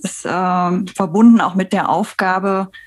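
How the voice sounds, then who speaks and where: A somewhat breathy woman at a medium pitch and a fairly slow pace. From Bergisches Land, Germany (Bensberg near Cologne). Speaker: head of bank marketing. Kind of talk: interview. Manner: hesitant, frequent filler sounds.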